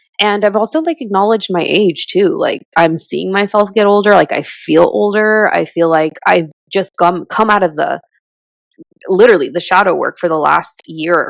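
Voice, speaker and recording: Ordinary pitch variation runs through a normal speaking voice that keeps a medium tempo. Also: woman, medium pitch for a woman. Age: 30s. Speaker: podcast host. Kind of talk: casual chat.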